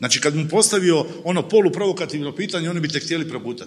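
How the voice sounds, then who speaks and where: A man talks very fast in a fairly high pitch, with noticeable background noise present. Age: 50s. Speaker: TV journalist. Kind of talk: panel discussion. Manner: animated.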